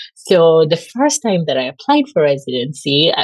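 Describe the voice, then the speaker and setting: In a Kenyan accent, a woman with a fairly low pitch speaks with lively intonation. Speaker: pulmonary and critical care physician. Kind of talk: podcast interview. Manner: casual, filler-heavy ('like').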